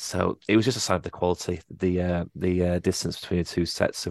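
Very deep, low male voice in monotone, flat intonation, moderate in pace with hardly any pauses, dry and close with no echo against a quiet background. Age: 30s. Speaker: football fan podcast co-host. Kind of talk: casual chat.

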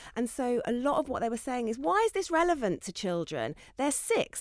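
A woman with a southern English accent talks at a very fast pace in a fairly high voice, her pitch swinging very widely, on a very clean recording with a silent background. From Essex, England. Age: 40s. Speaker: children's author. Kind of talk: panel discussion.

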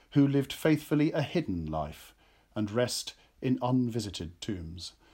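A man at a medium pitch with an English accent, on a very clean recording with a silent background. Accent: English (RP-leaning). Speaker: actor and author. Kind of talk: interview chat.

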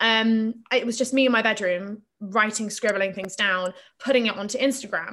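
A woman with a fairly high pitch and a bright, sharp tone speaks at a moderate pace with fairly even intonation. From England, Plymouth, Devon. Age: 20s. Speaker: artist and author. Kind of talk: casual chat.

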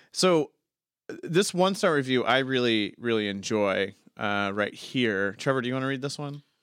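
On a very clean recording with a silent background, a man with an American accent speaks at a moderate pace. He has an unremarkable speaking voice at a medium pitch, with lively intonation. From California. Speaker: podcast host. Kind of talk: casual chat.

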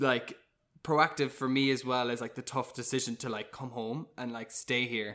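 A man's medium-pitched voice in a Cork accent, bright and sharp in tone, flat and monotone at a moderate pace, on a very clean recording with a silent background. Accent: Cork Irish. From Ireland, Cork. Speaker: musical theatre actor. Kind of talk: casual chat.

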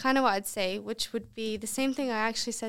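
In an American accent, a woman speaks. Her voice is raised and projected. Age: 20s. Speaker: professional golfer. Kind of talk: casual chat. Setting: studio.

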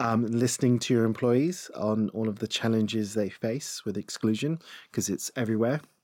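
An unremarkable speaking voice belongs to a man who talks at a moderate pace, with medium pitch and ordinary pitch variation. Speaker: diversity and inclusion head. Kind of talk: casual interview. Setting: studio.

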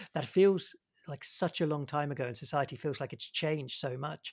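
A man talks at a moderate pace, his pitch varying in an ordinary way. The recording is very clean, with a silent background. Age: 40s. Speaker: podcast interviewer. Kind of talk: interview. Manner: hesitant, many fillers.

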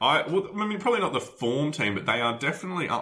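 A man speaks with an Australian accent in a bright, sharp tone. His voice carries vocal fry. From Adelaide, South Australia. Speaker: football podcast host. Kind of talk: casual chat.

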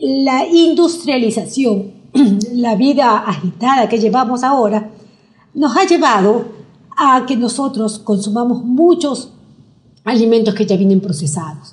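Pitched fairly high, a woman speaks with lively intonation and long, frequent pauses. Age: 60s. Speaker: nutrition doctor. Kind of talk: interview.

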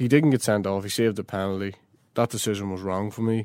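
Very cleanly recorded against a silent background, the speaker talks in a Northern Irish accent with monotone, flat intonation. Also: man. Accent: South Armagh Northern Irish. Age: young. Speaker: Gaelic football manager. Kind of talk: interview.

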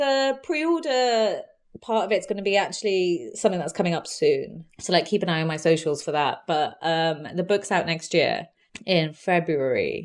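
With a London accent, a woman of medium pitch speaks at a moderate pace with lively intonation against a quiet background. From west London (Southall, Hounslow). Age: 30s. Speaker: magazine founder and Pride organiser. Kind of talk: interview.

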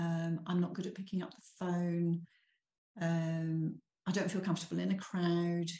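A woman's fairly low, somewhat breathy voice with a dark, mellow tone and monotone, flat intonation at a moderate pace. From eastern England, Norfolk. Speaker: small business owner. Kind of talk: interview.

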